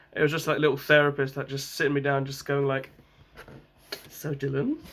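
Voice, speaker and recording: A man with a London accent, a fairly quick pace and monotone, flat intonation. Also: fairly high pitch for a man. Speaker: vlogger. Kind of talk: casual vlog talk.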